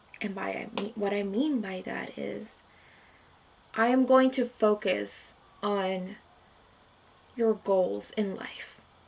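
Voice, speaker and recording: Long, frequent pauses break up a woman's very slow speech. Her pitch is medium, and her loudness swings widely. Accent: non-native. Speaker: vlogger. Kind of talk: casual monologue vlog. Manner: rambling with many fillers.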